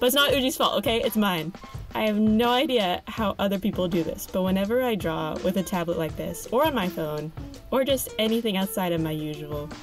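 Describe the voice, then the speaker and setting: A woman's fairly quick speech over music in the background. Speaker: digital artist. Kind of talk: casual product review and art tutorial voiceover.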